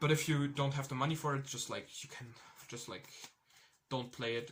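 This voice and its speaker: This man speaks with a non-native accent. His medium pitch stays in fairly even intonation. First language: not English. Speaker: card game player giving tournament report. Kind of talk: casual tutorial monologue. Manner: halting, many fillers and restarts.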